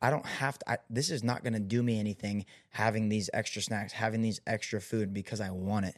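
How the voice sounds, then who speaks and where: In a normal speaking voice, a man with a fairly low pitch talks at a fairly quick pace with fairly even intonation, hardly any pauses and a quiet background. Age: 20s. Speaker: podcast host. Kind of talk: casual chat.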